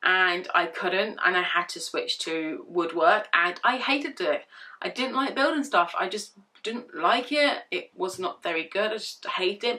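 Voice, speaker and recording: Using very wide pitch swings, a woman with a British accent and a fairly high pitch speaks at a fairly slow pace. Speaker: vlogger. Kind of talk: casual vlog Q&A. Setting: bedroom.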